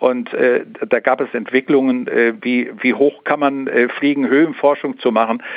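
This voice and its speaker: A man talks at a moderate pace with very even loudness and fairly even intonation. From Sauerland, western Germany. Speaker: aviation history collector. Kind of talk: interview. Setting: phone call.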